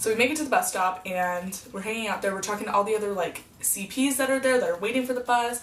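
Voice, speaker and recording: A woman's very fast speech in an animated tone, with hardly any pauses, ordinary pitch variation and noticeable background noise. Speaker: vlogger. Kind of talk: casual storytelling vlog.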